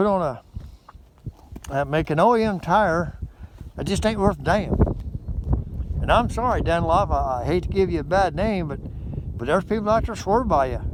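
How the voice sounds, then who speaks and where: A man with a high pitch and lively intonation, at a moderate pace with long, frequent pauses. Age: 60s. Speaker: motorcycle vlogger. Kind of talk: casual vlog review. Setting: outdoors by a frozen lake. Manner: rambling, repetitive hesitant delivery.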